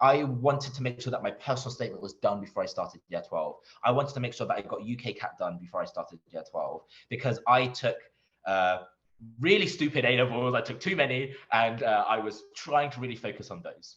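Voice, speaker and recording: Here a man speaks with a London accent. His pace is fairly quick. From East London. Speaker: doctor and medical school interviewer. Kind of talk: Q&A at online conference.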